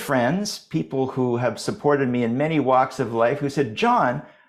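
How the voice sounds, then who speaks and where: With a Canadian accent and a normal speaking voice, a man talks at a fairly slow pace, his fairly high pitch moving in lively intonation. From Canada. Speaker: podcast host. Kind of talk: podcast discussion.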